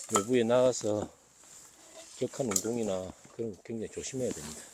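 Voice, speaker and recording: His intonation stays fairly even, and the man's pitch is medium. Noticeable background noise is present throughout. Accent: Busan. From Busan, South Korea. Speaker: farmer. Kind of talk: casual talk to camera. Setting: outdoors.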